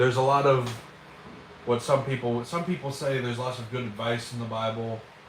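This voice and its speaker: Against noticeable background noise and audible room echo, a man of medium pitch talks fairly quickly with fairly even intonation. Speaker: livestreamer. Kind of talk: casual livestream chat. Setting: livestream. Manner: halting, many fillers.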